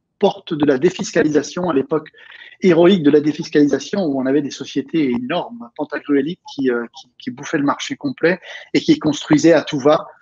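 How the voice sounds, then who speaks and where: Big swings in loudness mark this man's dark, mellow voice, which has a fairly high pitch, ordinary pitch variation and a moderate pace, recorded dry and close with no echo. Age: 60s. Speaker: real estate coach and trainer. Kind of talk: interview. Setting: video call.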